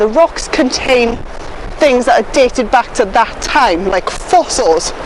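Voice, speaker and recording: A woman shouts at a high pitch. There is noticeable background noise. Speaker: nature presenter and vlogger. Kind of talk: outdoor vlog walkthrough. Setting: outdoors on a beach. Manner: loud, shouting over wind.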